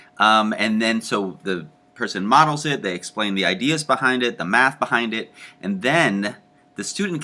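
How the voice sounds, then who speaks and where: The speaker is a man. His pitch is medium. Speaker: teacher education professor. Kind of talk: lecture. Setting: home recording. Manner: fast.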